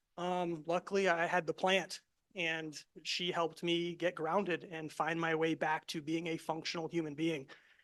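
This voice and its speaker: Over a quiet background, a man speaks with a high pitch. His moderate pace comes with monotone, flat intonation. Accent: American. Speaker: military veteran and cannabis grower. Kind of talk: presentation to class audience.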